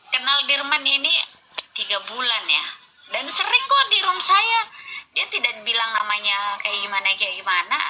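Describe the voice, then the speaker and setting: A woman's high, raised and projected voice with very wide pitch swings, a moderate pace and noticeable background noise. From Makassar, South Sulawesi. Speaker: live stream room host. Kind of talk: casual live stream discussion.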